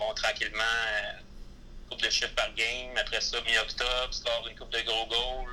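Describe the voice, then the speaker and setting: A man speaks at a fairly slow pace with noticeable background noise. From Quebec, Gaspé. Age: 30s. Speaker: former hockey player. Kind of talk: interview. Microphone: poor sound quality in interview.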